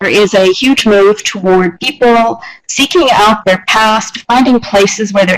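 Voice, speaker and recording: A woman speaks at a moderate pace and medium pitch with a Canadian accent. Hers is an unremarkable speaking voice with ordinary pitch variation. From Canada. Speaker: university researcher. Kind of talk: conference presentation. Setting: video call.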